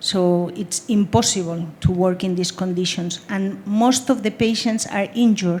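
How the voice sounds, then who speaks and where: A woman talks at a fairly slow pace with a Spanish accent and hardly any pauses. Her pitch is medium, with ordinary pitch variation. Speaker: humanitarian aid worker. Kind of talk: panel discussion. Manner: halting.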